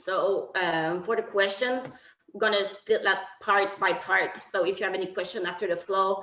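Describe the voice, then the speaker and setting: A woman speaks with a French accent and a bright, sharp tone. Room echo is audible. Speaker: technical officials committee chair. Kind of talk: online briefing. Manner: halting.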